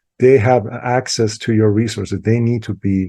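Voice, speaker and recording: Over a quiet background, a man talks at a moderate pace with fairly low pitch, fairly even intonation, and a somewhat breathy, dark, mellow tone. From Iran. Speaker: IT services expert. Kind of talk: webinar presentation. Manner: halting, many fillers.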